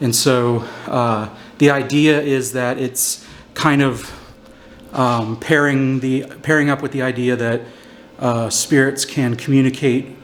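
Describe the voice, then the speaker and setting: The speech moves at a very slow pace in a flat monotone. Noticeable background noise sits behind it. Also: man. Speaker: paranormal investigator. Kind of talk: explanatory commentary during investigation. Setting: inside old jail, echoey metal cell block. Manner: hesitant with fillers; soft-spoken.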